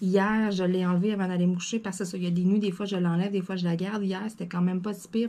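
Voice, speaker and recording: A somewhat breathy woman with a Quebec accent talks at a very fast pace, her medium-pitched voice dark and mellow in tone. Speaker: craft YouTuber. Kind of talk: casual vlog chat. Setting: at home desk. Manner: animated.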